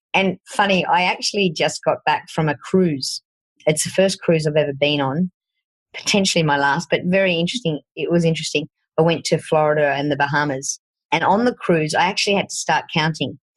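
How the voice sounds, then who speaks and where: In a strong Australian accent, a woman with a fairly low pitch and ordinary pitch variation speaks at a fairly quick pace with very even loudness, in a dry, close sound with no echo. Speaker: fitness coach and podcast host. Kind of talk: podcast interview.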